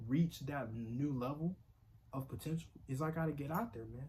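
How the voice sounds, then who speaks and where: A man's fairly high, somewhat breathy voice with ordinary pitch variation. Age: 20s. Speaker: vlogger. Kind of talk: casual vlog monologue. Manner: casual, halting with fillers.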